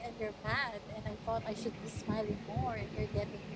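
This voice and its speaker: A woman speaks with a strong Batangas accent over noticeable background noise. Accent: heavy Tagalog, Batangueño. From Philippines, Batangas. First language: Tagalog. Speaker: channel owner's girlfriend. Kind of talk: casual chat.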